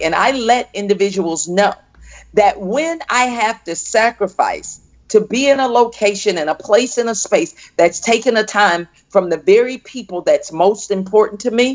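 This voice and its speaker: With an American accent and a normal speaking voice, a woman speaks at a moderate pace and a fairly high pitch with lively intonation. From US South, Fort Pierce, Florida. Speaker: entrepreneur and coach. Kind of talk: interview.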